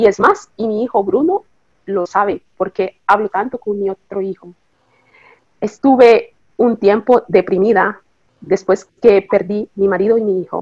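Speaking at a fairly slow pace, a woman with a normal speaking voice keeps a medium pitch and fairly even intonation. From Nicaragua, then Costa Rica. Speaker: bereaved mother, hospital worker. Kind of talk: interview testimony.

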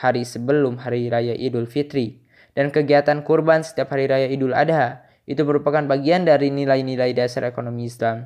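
In a normal speaking voice, a man talks at a moderate pace with medium pitch and fairly even intonation against a quiet background. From Indonesia, Garut (West Java). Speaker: university student. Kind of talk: reading homework answers aloud.

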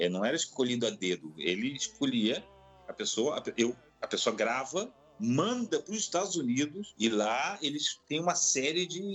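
A man talks at a moderate pace in a fairly high pitch with very wide pitch swings, noticeable background noise behind him. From Rio de Janeiro, Brazil. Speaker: opera singer. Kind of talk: casual interview.

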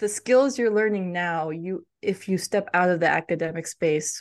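Heard over a quiet background with dry, close sound and no echo, a woman with an American accent has a plain, everyday voice, a fairly low pitch with ordinary pitch variation, and a moderate pace. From US. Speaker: cultural intelligence coach and author. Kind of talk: interview conversation. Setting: podcast interview.

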